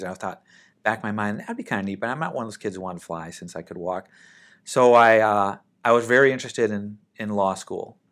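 A man with an American accent speaks at a fairly quick pace in a normal speaking voice, his fairly low pitch carried by lively intonation. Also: very clean recording, silent background. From Minnesota, US (Saint Paul). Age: 50s. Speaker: air force general and airline pilot. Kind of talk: interview.

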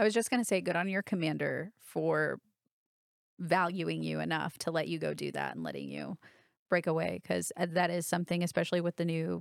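A woman at a fairly quick pace on a very clean recording with a silent background. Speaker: military podcast host. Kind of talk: podcast interview.

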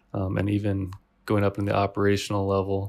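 A man speaks in a normal speaking voice with a General American accent at a fairly low pitch. His pace is moderate, and the recording is very clean with a silent background. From Washington State, US. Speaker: army warrant officer. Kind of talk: interview.

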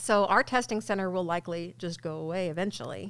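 Talking at a fairly quick pace with an American accent, a woman uses vocal fry at a medium pitch. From US Midwest, St. Louis area (Missouri). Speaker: military education and training manager. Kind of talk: interview. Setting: studio.

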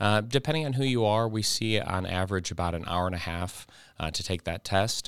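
A man with an unremarkable speaking voice talks at a fairly quick pace in a fairly low pitch, with ordinary pitch variation, in a very clean recording with a silent background. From Ohio. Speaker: army recruiter. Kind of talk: interview.

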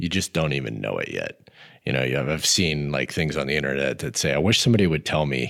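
Here is a man with an American accent and vocal fry. His pitch is very deep and low, with ordinary pitch variation. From Montana, US. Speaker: army command sergeant major. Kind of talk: interview podcast.

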